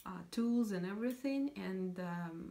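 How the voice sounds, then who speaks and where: A woman's somewhat breathy, fairly low-pitched voice with a Russian accent, at a fairly slow pace. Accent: Russian accent, non-native English. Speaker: knitting podcaster. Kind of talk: casual vlog chat. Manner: hesitant, many fillers.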